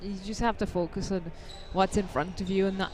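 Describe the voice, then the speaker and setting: A woman speaks in a flat monotone at a moderate pace, with audible room echo around her. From Guyana. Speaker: professional squash player. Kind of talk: post-match interview. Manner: halting, many fillers.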